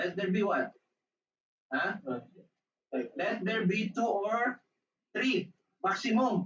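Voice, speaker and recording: Long, frequent pauses fill speech delivered at a very slow pace. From Philippines. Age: 60s. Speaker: preacher. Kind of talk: sermon.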